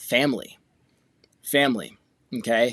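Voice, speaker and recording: A man talks at a medium pitch. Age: 40s. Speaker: podcast host. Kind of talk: casual monologue. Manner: emphatic.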